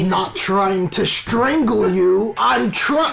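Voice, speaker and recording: Very slow, high-pitched male speech in a put-on character voice. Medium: actual play.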